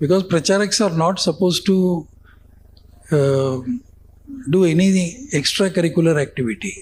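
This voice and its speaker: A man with a Tamil accent, high-pitched, at a moderate pace with ordinary pitch variation. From India. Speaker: former magazine editor. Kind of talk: interview storytelling. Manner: halting, with many fillers.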